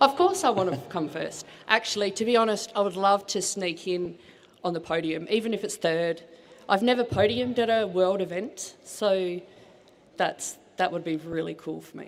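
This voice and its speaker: A woman speaks with an Australian accent at a medium pitch and a moderate pace. Her loudness swings widely. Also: ordinary pitch variation. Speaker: strongwoman athlete. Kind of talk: press conference interview. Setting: stage with audience. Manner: animated.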